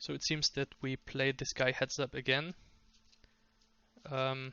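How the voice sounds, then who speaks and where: A man with a non-native accent speaks at a medium pitch and a fairly slow pace, his intonation monotone and flat. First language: not English. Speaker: poker coach. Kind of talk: tutorial. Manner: halting, many fillers.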